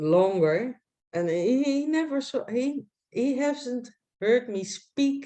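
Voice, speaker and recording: A woman with a Dutch accent speaks at a very slow pace in a high pitch. Her tone is dark and mellow, and her pitch swings very widely. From Netherlands. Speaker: online researcher. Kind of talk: casual chat. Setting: video call. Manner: halting.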